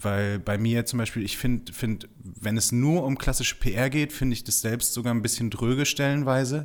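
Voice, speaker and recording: He has a normal speaking voice at medium pitch, with fairly even intonation. The man keeps a moderate pace with hardly any pauses. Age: 20s. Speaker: PR consultant. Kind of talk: casual interview.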